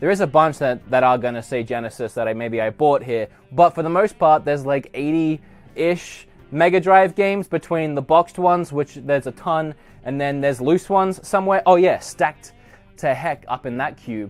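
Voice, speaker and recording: Fairly high-pitched man with ordinary pitch variation at a moderate pace, music in the background. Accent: Australian. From Australia. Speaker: gaming YouTuber. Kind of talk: casual room tour vlog. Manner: animated.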